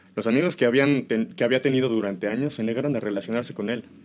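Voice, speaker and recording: At a fairly quick pace, a man talks with fairly even intonation in a normal speaking voice. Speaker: horror story narrator. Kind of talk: horror story narration.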